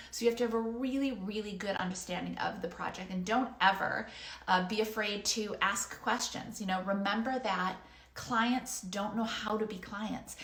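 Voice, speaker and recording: Noticeable background noise and audible room echo surround a woman's fairly high voice. She keeps a moderate pace and fairly even intonation. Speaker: freelance business coach. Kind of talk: online course lesson.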